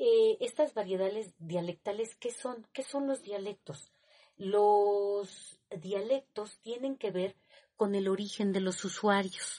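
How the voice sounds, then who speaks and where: In a Mexico City accent, a woman speaks at a very slow pace with a medium pitch, ordinary pitch variation and a dark, mellow tone. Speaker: teacher. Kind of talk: lecture. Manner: halting.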